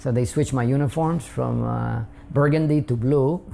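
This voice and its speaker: Over noticeable background noise, a man with a Spanish accent speaks at a medium pitch. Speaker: immigrant interviewee. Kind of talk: interview testimony. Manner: hesitant with fillers.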